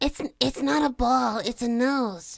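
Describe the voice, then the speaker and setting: In a put-on character voice, a woman speaks at a high pitch and a fairly slow pace with lively intonation, on a very clean recording with a silent background. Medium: read story.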